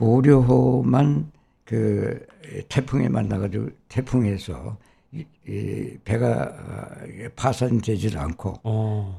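This man has a fairly low pitch and talks at a very slow pace. His pitch swings very widely. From Seoul, Korea. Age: 80s. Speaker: community leader and Korean War veteran, former Korean association president. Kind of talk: casual interview, recounting life story. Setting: studio.

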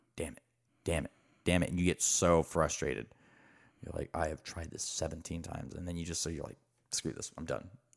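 With a very deep, low pitch and vocal fry, a man talks at a fairly quick pace with fairly even intonation, big swings in loudness and long, frequent pauses, on a very clean recording with a silent background. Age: 30s. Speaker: podcast guest. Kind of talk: casual chat. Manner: halting.

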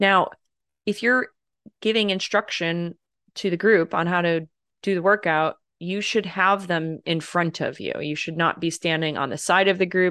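A woman speaks at a moderate pace in a fairly low voice with a bright, sharp tone and ordinary pitch variation. The sound is dry and close with no echo. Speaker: podcast host and communication coach. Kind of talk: casual podcast conversation.

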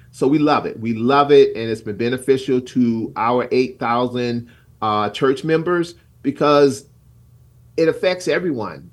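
A man speaks in a normal speaking voice, medium in pitch, at a fairly slow pace with ordinary pitch variation. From South Carolina. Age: 60s. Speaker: pastor and community leader. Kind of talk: radio interview.

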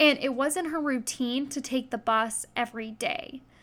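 A raised, projected voice with a bright, sharp tone, a moderate pace and ordinary pitch variation. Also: woman. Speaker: true crime podcast host. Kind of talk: true crime narration. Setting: home recording. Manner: halting.

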